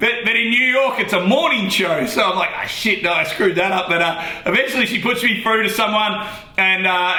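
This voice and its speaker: With an Australian accent, a man uses a raised, projected voice and lively intonation over noticeable background noise. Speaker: radio host. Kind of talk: casual interview answer.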